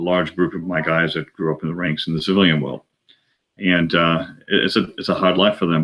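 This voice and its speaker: A man with an Australian accent talks at a fairly quick pace. His pitch is very deep and low, and his intonation is fairly even. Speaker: aviation company president, retired air force pilot. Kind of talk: interview answer.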